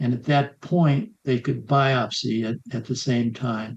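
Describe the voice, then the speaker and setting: A man with a somewhat breathy, dark, mellow tone speaks at a medium pitch. His pace is very slow and his intonation fairly even. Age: 80s. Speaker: healthy aging coach and author. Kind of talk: interview answer.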